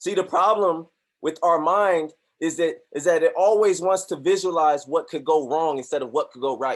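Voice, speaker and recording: A man speaks at a moderate pace in a high pitch with ordinary pitch variation and an animated tone. The recording is very clean, with a silent background. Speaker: motivational speaker and trading group leader. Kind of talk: motivational talk on a group call. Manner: loud.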